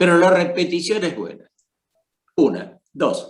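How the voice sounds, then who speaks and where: A man's high voice moves along at a fairly slow pace. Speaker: psychoanalyst. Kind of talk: panel discussion. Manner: hesitant, with many fillers.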